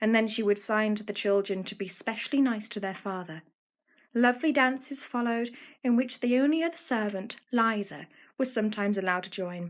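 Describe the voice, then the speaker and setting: The speaker has an English accent and talks at a fairly quick pace. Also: woman, fairly high pitch for a woman, ordinary pitch variation, very clean recording, silent background. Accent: well-spoken English. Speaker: amateur audiobook reader. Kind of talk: children's audiobook reading.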